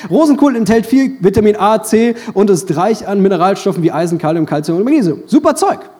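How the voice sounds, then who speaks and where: An animated man talking at a very fast pace over noticeable background noise. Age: 20s. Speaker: pastor. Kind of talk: sermon.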